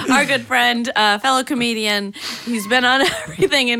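A woman keeps a moderate pace and ordinary pitch variation amid noticeable background noise. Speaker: podcast host. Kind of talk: casual chat. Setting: studio.

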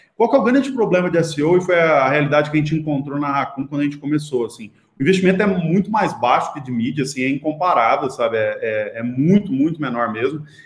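A man's fairly high voice, very fast, with lively intonation over noticeable background noise. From Brazil, Goiás (Itumbiara). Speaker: digital marketing agency founder. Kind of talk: interview.

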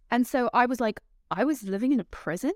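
With a London accent, a woman talks at a moderate pace with ordinary pitch variation, the sound dry and close with no echo. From London, England. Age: 30s. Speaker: actress and sketch comedian. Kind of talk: casual chat.

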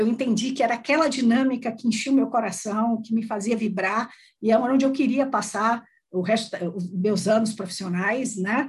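A woman speaks with a fairly high pitch at a moderate pace. Her voice is somewhat breathy, with ordinary pitch variation. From Brazil, Salvador, Bahia. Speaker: HR executive. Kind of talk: interview.

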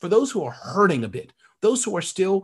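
The tone is animated and energetic. Intonation rises and falls in a lively way. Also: man. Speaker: entrepreneur and author. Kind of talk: interview. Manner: fast talker; animated, energetic.

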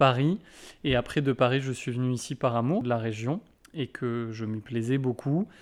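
Against a quiet background, a man has an unremarkable speaking voice with ordinary pitch variation. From Brittany, France. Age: 20s. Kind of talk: interview conversation.

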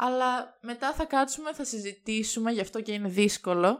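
Recorded very cleanly against a silent background, a woman speaks at a high pitch. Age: 20s. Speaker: podcast guest. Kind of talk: casual chat.

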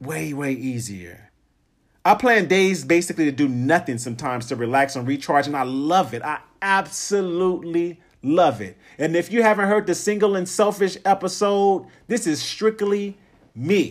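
Lively intonation and an animated, energetic tone mark this man's high-pitched voice. The recording is very clean, with a silent background. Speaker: podcast host. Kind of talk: solo motivational podcast monologue. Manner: fast talker.

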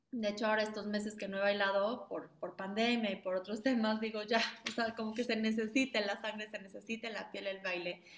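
A woman talks at a fairly quick pace with hardly any pauses, her fairly high pitch held in monotone, flat intonation. Noticeable background noise runs beneath her. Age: 30s. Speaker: ballet school founder and director. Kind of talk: interview. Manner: halting.

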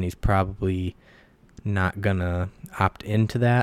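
Speaking with an American accent, a man with a fairly low voice and ordinary pitch variation is heard in a very clean recording with a silent background and a dry, close sound free of echo. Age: 20s. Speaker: sports podcaster. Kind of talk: casual monologue. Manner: rambling conversational. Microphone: new mic.

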